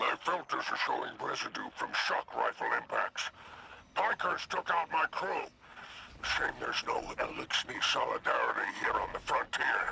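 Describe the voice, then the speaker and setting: A man's put-on character voice at an extremely high pitch and moderate pace, with clear background noise. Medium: video game. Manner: theatrical, flowery.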